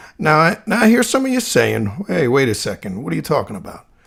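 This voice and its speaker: The speaker is a man with a New Jersey accent. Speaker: podcast host. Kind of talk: casual monologue.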